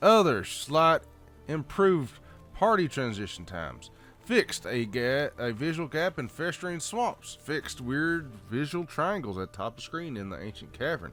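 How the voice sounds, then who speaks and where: Over music in the background, a man with a Southern US accent talks at a fairly high pitch and a moderate pace. His pitch swings very widely and his loudness shifts in big jumps. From Southern United States. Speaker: gamer. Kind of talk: game patch notes read-through with casual comments. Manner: casual, folksy.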